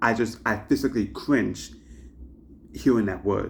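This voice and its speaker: With vocal fry and fairly even intonation, the voice moves at a fairly quick pace on a very clean recording with a silent background. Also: man. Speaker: YouTuber. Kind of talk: commentary monologue. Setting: to camera. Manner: halting with repetitions.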